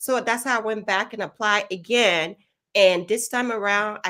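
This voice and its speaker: A woman speaks at a moderate pace with a Liberian accent and a bright, sharp tone. The recording is very clean, with a silent background. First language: Kolokwa (Liberian English creole). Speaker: nurse practitioner and nursing professor. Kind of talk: interview testimony.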